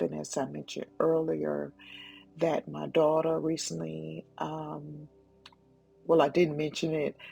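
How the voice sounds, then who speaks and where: Music plays behind a woman as she talks. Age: 60s. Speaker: wellness and lifestyle vlogger. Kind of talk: reflective monologue. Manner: gentle, unhurried; halting, with fillers.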